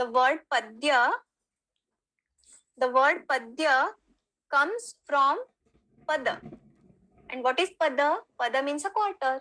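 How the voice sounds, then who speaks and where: A woman's high, bright and sharp voice in a Marathi accent, raised and projected, fairly slow with long, frequent pauses and lively intonation. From Maharashtra, India. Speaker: Sanskrit teacher. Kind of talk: online lecture.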